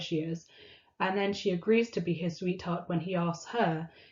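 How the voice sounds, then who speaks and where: With monotone, flat intonation, a woman speaks at a medium pitch in a somewhat breathy voice. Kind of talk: casual talk to camera.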